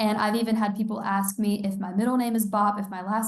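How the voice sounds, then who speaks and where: A somewhat breathy woman with a fairly high pitch, a fairly quick pace and audible room echo. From Georgia. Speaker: college student and online clothing store founder. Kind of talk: casual interview chat.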